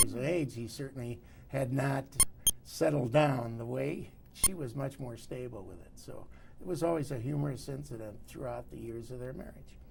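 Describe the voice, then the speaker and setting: A man at medium pitch and a moderate pace, with ordinary pitch variation and audible room echo. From Detroit, Michigan, US. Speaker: oral history interviewee, retired business owner. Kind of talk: oral history interview. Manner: halting, many fillers.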